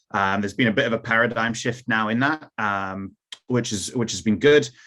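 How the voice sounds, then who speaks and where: Bright and sharp in tone, a man at a medium pitch speaks with an American accent at a fairly quick pace with fairly even intonation. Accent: little trace of Newcastle accent left. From Newcastle, England, then Cincinnati, US from teens. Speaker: youth football academy director. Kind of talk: presentation. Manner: hesitant, many fillers.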